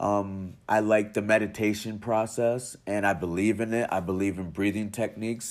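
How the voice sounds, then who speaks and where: A man with a plain, everyday voice talks at a moderate pace. The recording is very clean, with a silent background. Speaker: podcast host. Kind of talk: interview.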